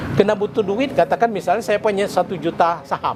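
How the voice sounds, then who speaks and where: Someone talks at a very fast pace, with noticeable background noise throughout. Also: man. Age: 70s. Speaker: retired stock exchange executive and investor. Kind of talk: interview.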